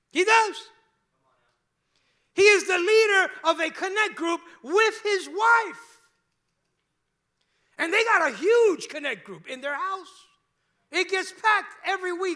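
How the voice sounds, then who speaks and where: A man with a strong Cuban accent projects a raised voice at an extremely high pitch, his bright, sharp tone animated, his loudness swinging widely, his pitch variation ordinary, and his speech broken by long, frequent pauses. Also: fairly slow pace. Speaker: pastor. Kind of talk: sermon. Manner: conversational, animated.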